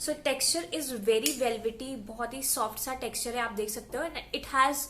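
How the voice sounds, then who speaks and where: Against noticeable background noise, a woman talks at a moderate pace in a high voice with ordinary pitch variation. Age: 20s. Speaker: beauty vlogger. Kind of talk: product review. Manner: casual, Hindi-English code-switching.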